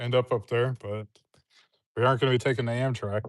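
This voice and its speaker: A man's relaxed, medium-pitched voice with fairly even intonation and a quiet background. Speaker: woodworker. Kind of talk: casual chat. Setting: outdoors livestream. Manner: relaxed, hesitant.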